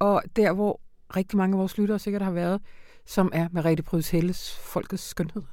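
Recorded very cleanly against a silent background, a woman talks at a moderate pace in a dark, mellow tone. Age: 40s. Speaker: literary critic. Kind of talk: literary discussion.

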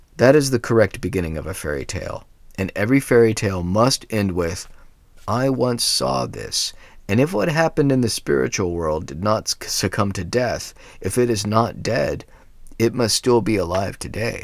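Speaking in an unremarkable speaking voice, a man talks at a fairly low pitch with lively intonation. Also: moderate pace, very clean recording, silent background. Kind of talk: reading aloud a fairy tale, storybook narration. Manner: measured, steady storyteller's pace.

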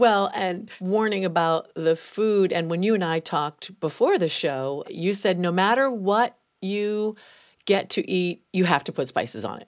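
A woman with an unremarkable speaking voice talks at a fairly slow pace, her pitch medium and its variation ordinary. The recording is very clean, with a silent background. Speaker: radio host. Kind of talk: interview.

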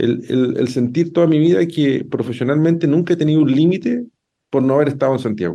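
At a fairly quick pace, a man speaks in a dark, mellow tone with lively intonation and very even loudness. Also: fairly high pitch for a man. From southern Chile, Llanquihue province. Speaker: law professor and lawyer. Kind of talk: radio interview. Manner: halting, many repetitions and fillers.

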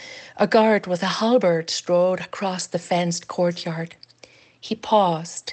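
The reading voice sounds natural. It stays that way from start to finish.

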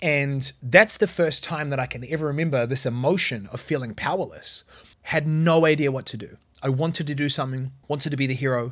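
Fairly quick and fairly high-pitched, a man speaks with ordinary pitch variation in a very clean recording with a silent background. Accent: New Zealand. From New Zealand. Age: 30s. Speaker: business coach podcaster. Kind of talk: solo podcast monologue.

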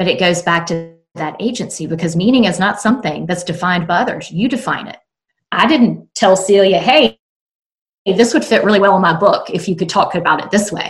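Somewhat breathy, a woman in a Southern US accent speaks at medium pitch and a fairly quick pace with lively intonation. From South Carolina. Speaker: author and work consultant. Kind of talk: casual interview chat.

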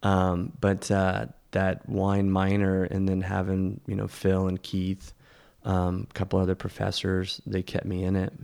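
A very deep, low male voice with an American accent, monotone and flat, at a fairly slow pace, on a very clean recording with a silent background. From California Central Coast (King City, Salinas Valley). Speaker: vegetable farmer. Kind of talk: casual interview chat. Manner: halting, many fillers and repeats.

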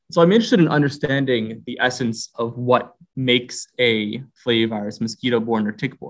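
Fairly quick speech from a man with an American accent, medium in pitch and ordinary in pitch variation. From US Northeast, Philadelphia (Roxborough). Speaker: virology PhD student. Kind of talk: interview. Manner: halting, frequent repetitions.

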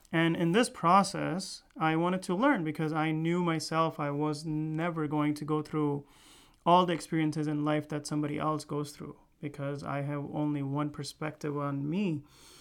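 With a plain, everyday voice, a man speaks at a moderate pace in a fairly high pitch and fairly even intonation, captured in a very clean recording with a silent background. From US (moved from India as a young child). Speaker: physician. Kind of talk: podcast monologue.

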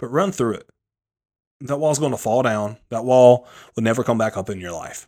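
Long, frequent pauses break up a dark, mellow tone with ordinary pitch variation, recorded very cleanly against a silent background. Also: man, moderate pace, big swings in loudness. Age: 30s. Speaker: motivational speaker and health coach. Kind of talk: solo motivational talk, pumped-up pep talk. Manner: high-energy, animated, emphatic, casual slangy; repeats words and restarts, conversational, fired-up.

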